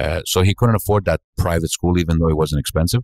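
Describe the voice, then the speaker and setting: A man with a Greek accent and ordinary pitch variation, in a very clean recording with a silent background and a dry, close sound with no echo. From Montreal, Quebec (Greek-born, arrived age 6). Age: 60s. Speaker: restaurant owner. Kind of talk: podcast interview. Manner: halting, many fillers.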